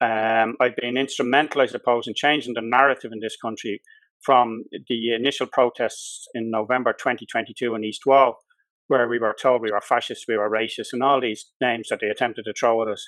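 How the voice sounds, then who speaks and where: Speaking at a fairly quick pace with a Dublin accent, a man holds a medium pitch in monotone, flat intonation. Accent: Dublin Irish. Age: 60s. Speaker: solicitor and election candidate. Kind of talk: political interview.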